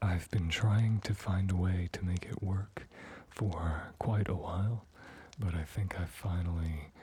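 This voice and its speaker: A soft-spoken man whispers at a fairly slow pace. His voice is somewhat breathy. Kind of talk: ASMR chat. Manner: whispered, soft-spoken.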